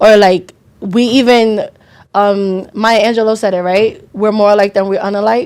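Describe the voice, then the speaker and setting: A loud woman's voice, medium in pitch, with flat, monotone intonation at a moderate pace. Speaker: podcast co-host and nail tech. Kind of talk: casual chat.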